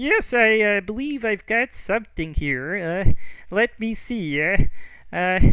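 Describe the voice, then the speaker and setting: In a put-on character voice, a man speaks fairly slowly at a high pitch. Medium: actual play. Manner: hesitant, stammering.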